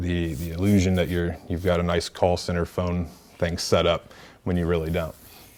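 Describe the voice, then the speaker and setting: A man talks in a very deep, low pitch with monotone, flat intonation. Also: moderate pace. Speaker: workshop presenter and podcaster; presenter. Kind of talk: workshop tutorial. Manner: casual, filler-heavy. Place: meeting room.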